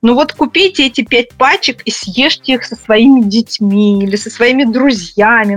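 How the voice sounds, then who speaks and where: A woman with a plain, everyday voice speaks in a fairly high pitch with ordinary pitch variation, in a dry, close sound with no echo. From Russia. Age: 40s. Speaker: psychologist. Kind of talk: interview.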